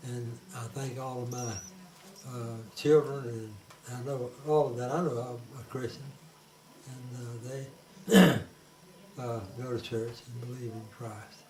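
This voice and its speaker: A man with a Southern US accent talks at a fairly slow pace in a medium pitch, with flat, monotone intonation, big swings in loudness, and long, frequent pauses. Noticeable background noise and audible room echo fill the recording. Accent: Southern US (Georgia). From US South (Georgia). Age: 80s+. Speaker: forester, grandfather. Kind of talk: family interview. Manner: halting, many fillers.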